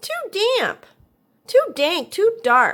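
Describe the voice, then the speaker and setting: A woman does a squeaky put-on character voice at an extremely high pitch, swinging very widely up and down. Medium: read story.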